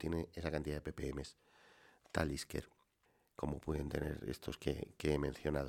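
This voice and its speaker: With vocal fry in a very deep, low voice, a man talks at a fairly quick pace with fairly even intonation. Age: middle-aged. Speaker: solo whisky podcaster. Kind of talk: relaxed solo monologue. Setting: home wine cellar.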